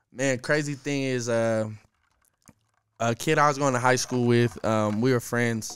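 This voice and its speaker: A man speaks at a fairly slow pace, the sound dry with no echo. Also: fairly even intonation. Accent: American. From Denver, Colorado. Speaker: rapper. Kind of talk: casual chat. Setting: studio. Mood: relaxed, smiling. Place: studio. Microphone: studio mic.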